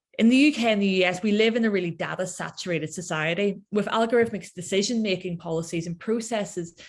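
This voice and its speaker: A woman with an Irish accent at a medium pitch, fairly quick in pace, with ordinary pitch variation and a quiet background. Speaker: researcher. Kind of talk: lecture.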